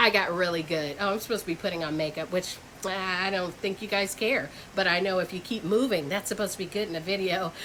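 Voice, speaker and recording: A woman's medium-pitched voice with ordinary pitch variation at a very fast pace, over noticeable background noise. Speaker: reseller vlogger. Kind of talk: casual vlog talk to camera. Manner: halting, many fillers.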